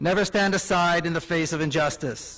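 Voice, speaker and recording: This man talks with a high pitch and ordinary pitch variation. His pace is moderate. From Israel. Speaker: writer and activist. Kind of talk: graduation keynote speech.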